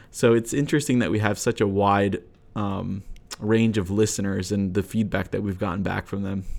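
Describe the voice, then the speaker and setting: With an American accent, a man has an ordinary speaking voice, talking at a moderate pace with a fairly low pitch and fairly even intonation. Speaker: software engineer and podcast co-host. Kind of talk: casual interview. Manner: frequent filler words.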